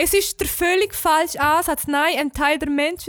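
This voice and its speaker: High and female, this voice shifts in pitch in an ordinary way. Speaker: podcast co-host. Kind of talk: casual chat.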